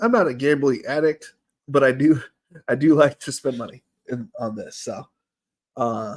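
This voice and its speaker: This man's fairly high pitch varies in an ordinary way as he talks at a moderate pace. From US Midwest. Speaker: streamer. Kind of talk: casual livestream chat.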